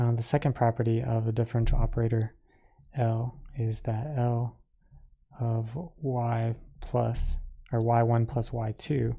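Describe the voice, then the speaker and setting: This man has a medium-pitched, somewhat breathy voice with a dark, mellow tone. He talks in a flat monotone at a fairly slow pace, with long, frequent pauses. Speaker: math lecturer. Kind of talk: lecture. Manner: casual, filler-heavy.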